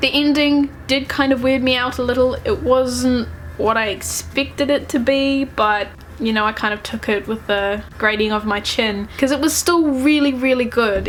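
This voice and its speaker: A woman with a New Zealand accent talks at a moderate pace, her high pitch varying in an ordinary way. Noticeable background noise runs underneath. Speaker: book reviewer. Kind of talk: casual talk to camera.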